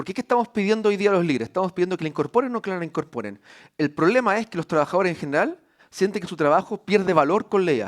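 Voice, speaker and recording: This voice moves at a very fast pace with lively intonation. The recording is very clean, with a silent background. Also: man, high pitch for a man. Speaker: university executive. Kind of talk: conference talk. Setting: stage with audience. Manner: hesitant fillers.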